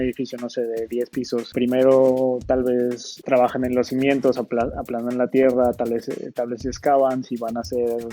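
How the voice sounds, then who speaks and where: Over noticeable background noise, a man talks at a fairly slow pace and medium pitch in a monotone, flat way. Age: 30s. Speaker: software engineer. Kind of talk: lecture.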